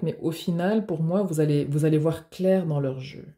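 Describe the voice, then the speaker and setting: A woman's very deep, low voice in a dark, mellow tone, with ordinary pitch variation, in a very clean recording with a silent background. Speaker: tarot reader. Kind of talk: tarot reading. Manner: animated.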